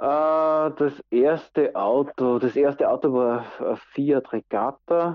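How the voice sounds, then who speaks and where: A man talks at a very slow pace. His pitch is fairly high and his intonation fairly even. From Austria, Styria. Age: 40s. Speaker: interviewee. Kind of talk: casual interview.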